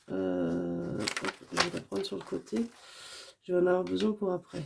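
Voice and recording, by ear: A woman with a fairly low pitch, vocal fry and a slightly husky edge talks at a moderate pace with big pitch swings.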